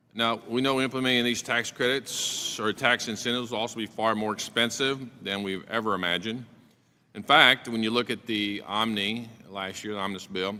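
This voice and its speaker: The speaker talks at a fairly quick pace with a bright, sharp tone and fairly even intonation. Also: man. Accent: Oklahoma. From Oklahoma. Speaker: congressman. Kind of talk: committee hearing questioning. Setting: congressional committee hearing.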